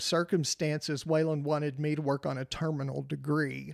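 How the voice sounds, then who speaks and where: On a very clean recording with a silent background and a dry, close sound with no echo, a man with a West Texas accent speaks with fairly even intonation. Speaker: retired teacher. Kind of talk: casual interview.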